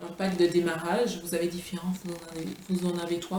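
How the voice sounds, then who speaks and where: A woman with a Martinican accent at a fairly slow pace, with audible room echo and noticeable background noise. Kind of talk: product presentation vlog. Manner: halting, many fillers and restarts.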